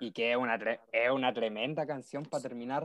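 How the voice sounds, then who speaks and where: A man's voice comes at a moderate pace with a dry, close sound and no echo. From Chile. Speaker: university student. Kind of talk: casual chat.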